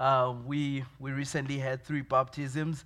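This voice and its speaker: A man with a Zimbabwean accent speaks at a medium pitch. His intonation is monotone and flat. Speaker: pastor. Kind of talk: sermon. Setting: church. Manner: halting, many fillers.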